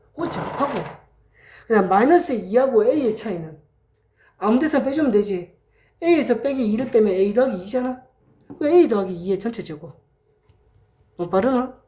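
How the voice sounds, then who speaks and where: A woman's high, dark and mellow voice at a fairly quick pace, with very wide pitch swings, long, frequent pauses and audible room echo. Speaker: math tutor. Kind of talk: lecture. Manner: casual.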